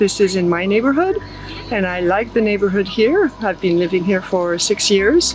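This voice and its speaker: At a moderate pace and medium pitch, a woman speaks with ordinary pitch variation over noticeable background noise. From southern France. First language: French. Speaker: artist. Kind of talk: casual interview. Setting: outdoor festival.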